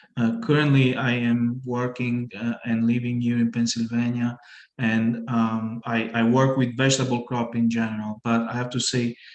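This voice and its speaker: Delivered in an Italian accent, this man's medium-pitched voice stays monotone and flat. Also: moderate pace. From Italy, Puglia. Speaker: vegetable crop researcher. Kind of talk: online presentation. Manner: halting.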